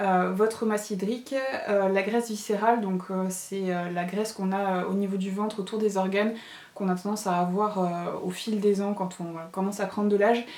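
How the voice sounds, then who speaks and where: A woman talks at a fairly quick pace in a monotone, flat intonation, with audible room echo and noticeable background noise. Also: medium pitch for a woman. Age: 30s. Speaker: lifestyle vlogger. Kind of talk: casual vlog product review. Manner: hesitant, many fillers.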